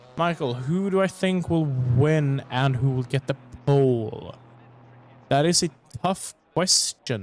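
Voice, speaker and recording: The man's pitch sits fairly high, and his pace is very slow. Music plays in the background. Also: ordinary pitch variation. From Sweden. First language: Swedish. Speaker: sim racing commentator. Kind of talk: live commentary. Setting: livestream.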